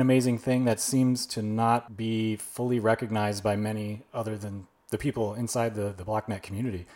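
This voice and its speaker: At a moderate pace and medium pitch, a man speaks in a plain, everyday voice with fairly even intonation. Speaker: podcast host. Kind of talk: interview, casual conversational.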